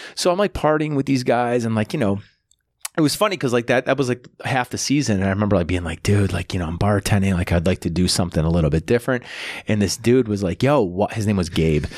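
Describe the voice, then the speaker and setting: A man with an American accent talks at a very fast pace in a fairly low voice, his intonation lively, on a very clean recording with a silent background and a dry, close sound with no echo. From Buffalo, New York. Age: 40s. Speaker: comedian. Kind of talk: casual chat.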